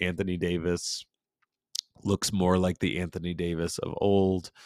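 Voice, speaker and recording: A man speaks at a very deep, low pitch. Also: very clean recording, silent background. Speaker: sports podcast host. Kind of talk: solo podcast monologue. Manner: hesitant, many fillers.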